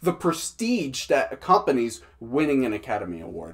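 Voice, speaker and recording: A man with an American accent talks at a moderate pace, his fairly high voice showing vocal fry and very wide pitch swings. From Massachusetts, US. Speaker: movie reviewer, show host. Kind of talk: live show commentary. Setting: live stream. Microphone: echoing mic.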